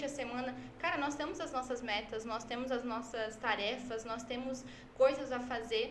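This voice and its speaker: Her pitch is high, and this woman talks at a moderate pace. Room echo is audible. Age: 20s. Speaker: church social media worker. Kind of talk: podcast interview.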